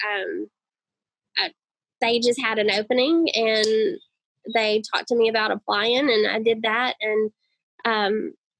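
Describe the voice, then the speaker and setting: A woman speaks at a moderate pace in a fairly high pitch, with ordinary pitch variation. The sound is dry and close, with no echo. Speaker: fishing industry marketer and tournament angler. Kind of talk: podcast interview.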